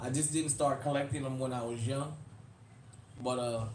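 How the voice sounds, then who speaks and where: With an American accent, a somewhat breathy man talks at a fairly quick pace with fairly even intonation amid audible room echo. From New Orleans, Louisiana (US South), Uptown. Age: 40s. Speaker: YouTube livestream host, firearms channel. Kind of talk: casual livestream chat. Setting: live stream.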